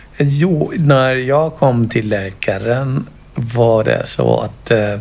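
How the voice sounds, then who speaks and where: The pitch varies in an ordinary way. Noticeable background noise runs through the clip. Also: man. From Kenya. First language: not Swedish (speaking Swedish). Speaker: project ambassador, parent sharing mental health experience. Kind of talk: interview testimony. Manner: halting, with fillers.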